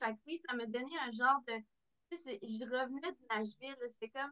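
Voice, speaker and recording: A woman's high-pitched voice, bright and sharp in tone, against a quiet background. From Quebec City region, Quebec; Quebec. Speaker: country singer; guest. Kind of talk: interview. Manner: halting. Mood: warm, animated. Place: home room. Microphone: video call.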